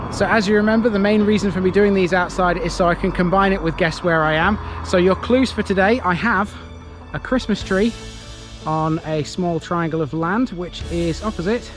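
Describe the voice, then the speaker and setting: Over music in the background, the speaker talks at a moderate pace with a Lincolnshire accent and ordinary pitch variation. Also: man, high pitch for a man. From Lincolnshire, England. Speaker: local history vlogger. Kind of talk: casual talk to camera. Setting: outdoors.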